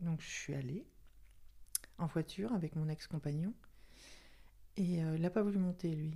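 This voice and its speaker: A woman talks at a fairly slow pace in a fairly low pitch with ordinary pitch variation. Her tone is dark and mellow, and somewhat breathy. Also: big swings in loudness. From Paris region, France. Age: 60s. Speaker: retiree podcast guest. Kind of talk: personal testimony interview. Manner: halting, many hesitations.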